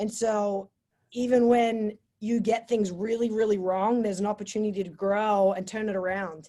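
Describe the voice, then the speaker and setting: With an Australian accent, this woman speaks at a moderate pace in a medium pitch, her intonation monotone and flat and her tone dark and mellow. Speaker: college sports coach. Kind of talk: motivational talk.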